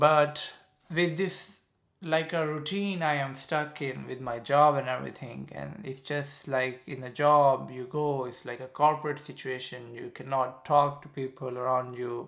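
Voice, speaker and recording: A man with a Pakistani accent speaks at a fairly slow pace. His pitch is fairly high, with fairly even intonation. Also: big swings in loudness. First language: Saraiki. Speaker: YouTuber. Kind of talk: casual vlog monologue. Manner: halting, filler-heavy.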